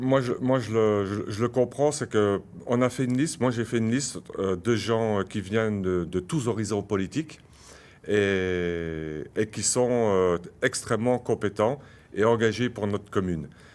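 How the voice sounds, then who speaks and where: This man's voice sits at a fairly low pitch with ordinary pitch variation. He speaks at a fairly slow pace. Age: 60s. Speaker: municipal candidate. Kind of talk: political debate. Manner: hesitant, many fillers.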